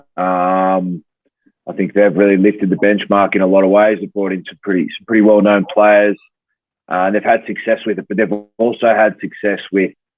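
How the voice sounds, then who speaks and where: With music in the background, a man speaks at a moderate pace in an Australian accent, his fairly low pitch held in a monotone, flat intonation. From Australia, Tamworth, New South Wales. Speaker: pro rugby player. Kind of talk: podcast interview.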